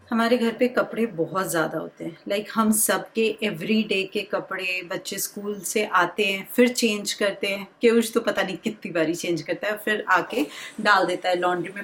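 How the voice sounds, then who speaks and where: A woman with a medium pitch talks as noticeable background noise plays behind her. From India, Bihar (Bengali family). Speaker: homemaker vlogger, mother. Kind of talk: casual vlog talk.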